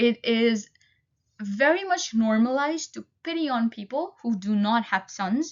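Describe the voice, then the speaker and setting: A woman with a Nepali accent, fairly high in pitch, lively in intonation and fairly slow in pace. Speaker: student. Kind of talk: class presentation. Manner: halting.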